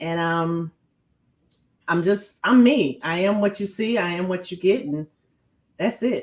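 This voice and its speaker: Speaking at a fairly slow pace with long, frequent pauses, a woman with an American accent uses a medium pitch and ordinary pitch variation. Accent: New York, comes in and out. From New York. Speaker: business owner and non-profit founder. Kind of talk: podcast interview. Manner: animated.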